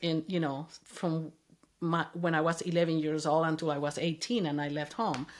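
On a very clean recording with a silent background, a woman talks at a moderate pace with a Spanish accent. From Venezuela. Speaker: mother of the host, immigrant. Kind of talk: interview, personal story.

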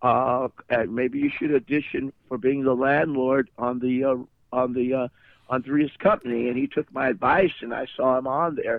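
An unremarkable speaking voice belongs to a man with an American accent, medium in pitch. His pace is moderate and his intonation fairly even. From US Midwest. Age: 60s. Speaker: actor and musician. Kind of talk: interview.

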